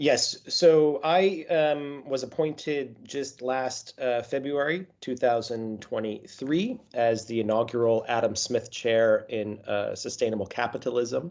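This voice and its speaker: A man talks at a fairly slow pace with an American accent, pausing hardly at all. His pitch is medium, with ordinary variation. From US, Colorado. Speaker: professor. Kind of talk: interview. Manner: halting, many fillers.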